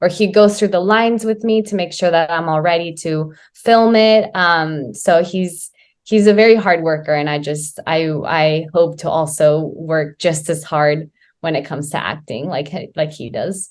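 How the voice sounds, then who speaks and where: At a moderate pace with ordinary pitch variation, this is an ordinary speaking voice. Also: woman, fairly low pitch for a woman. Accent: American. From US, Oklahoma. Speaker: actress and dancer. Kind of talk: interview.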